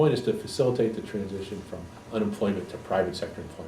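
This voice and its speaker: Amid audible room echo, a man talks at a very fast pace and a fairly low pitch. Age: 60s. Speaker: economist and political candidate. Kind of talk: interview.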